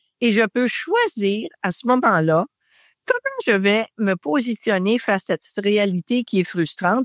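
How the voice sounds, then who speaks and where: A woman with a Quebec accent speaks very slowly in a fairly high voice with ordinary pitch variation, the sound dry and close with no echo. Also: big swings in loudness. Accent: Québécois French. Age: 70s. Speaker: podcast guest. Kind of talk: casual chat.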